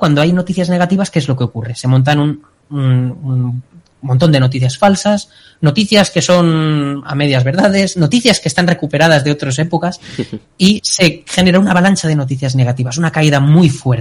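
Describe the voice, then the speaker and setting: Here is a man with an ordinary speaking voice. He talks at a moderate pace with a fairly high pitch. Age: 20s. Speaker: doctoral student and analyst. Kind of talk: casual chat.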